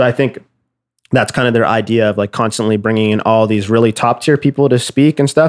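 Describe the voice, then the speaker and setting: A man with a Canadian accent and a plain, everyday voice, medium in pitch, fairly even in intonation and fairly quick in pace, in a dry, close, very clean recording with no echo and a silent background. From Nova Scotia, Canada. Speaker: music producer. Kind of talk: casual interview.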